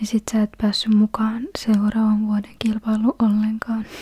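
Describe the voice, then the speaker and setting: Soft-spoken and somewhat breathy, a woman talks at a very slow pace in a gentle, dark, mellow tone. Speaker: ASMR video creator. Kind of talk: soft-spoken casual commentary. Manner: soft-spoken, gentle close-mic voice. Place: home room. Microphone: studio mic.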